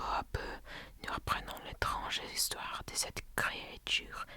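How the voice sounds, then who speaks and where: A man whispering at a very slow pace over noticeable background noise. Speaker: ASMR content creator. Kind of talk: reading aloud from a book. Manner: slow, hesitant reading.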